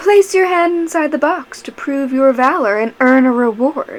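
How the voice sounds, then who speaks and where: A woman's put-on character voice, high-pitched, at a moderate pace. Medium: read story. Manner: soothing, calm, with a menacing undertone.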